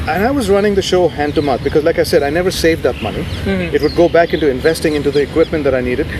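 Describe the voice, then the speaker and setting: This man talks very fast with a fairly high pitch and ordinary pitch variation. Noticeable background noise runs underneath. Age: 50s. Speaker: radio presenter and media CEO. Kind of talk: interview answer. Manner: calm.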